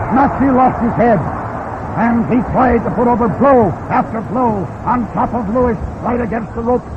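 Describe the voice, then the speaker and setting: An extremely high-pitched male voice with fairly even intonation and hardly any pauses, over noticeable background noise. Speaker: sports announcer. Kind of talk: live radio boxing commentary. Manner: fast.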